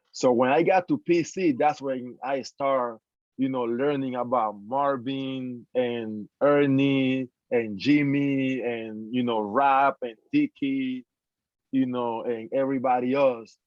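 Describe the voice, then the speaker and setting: With a Spanish accent, a man talks very slowly at a medium pitch, his intonation fairly even. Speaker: former college basketball player. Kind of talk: panel discussion.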